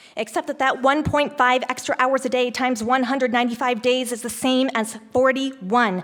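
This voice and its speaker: This woman's voice has a high pitch. She talks at a fairly quick pace. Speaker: teacher, public commenter. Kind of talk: public comment speech. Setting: school board meeting room. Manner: fast.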